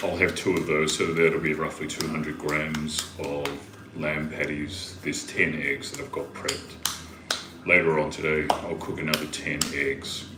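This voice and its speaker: A man with a New Zealand accent speaks at a moderate pace in a very deep, low, monotone voice with flat intonation. Audible room echo and noticeable background noise are present. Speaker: livestreamer. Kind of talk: casual chat.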